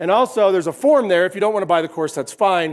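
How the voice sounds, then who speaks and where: An energetic man with an American accent, high pitch and ordinary pitch variation, in a very clean recording with a silent background. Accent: Appalachian, noted by listeners. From West Virginia. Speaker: keynote speaker and company founder. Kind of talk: conference keynote. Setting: stage with audience.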